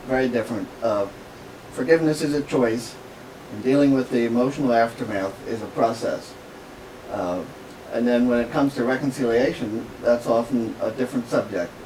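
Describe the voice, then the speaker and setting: With a Pennsylvania Dutch accent, a man speaks at a fairly quick pace in a medium pitch with ordinary pitch variation over noticeable background noise. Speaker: author and businessman. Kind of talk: radio interview. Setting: radio studio.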